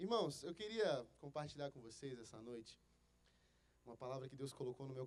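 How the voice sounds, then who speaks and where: A man talks with a Rio de Janeiro accent. His voice is fairly high in pitch. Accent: carioca. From Rio de Janeiro, Brazil. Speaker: pastor. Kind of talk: sermon. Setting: church.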